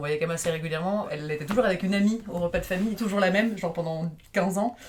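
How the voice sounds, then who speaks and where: Against noticeable background noise, a woman talks at a very fast pace in a fairly low pitch. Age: 30s. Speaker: podcast guest. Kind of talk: casual chat.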